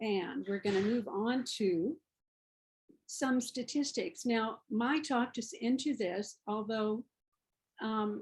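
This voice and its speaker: A woman with an American accent speaks very slowly in a fairly high, somewhat breathy voice, leaving long, frequent pauses. Her loudness stays very even while her pitch varies an ordinary amount. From US South. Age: 70s. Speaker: parent advocate, program coordinator. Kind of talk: webinar presentation.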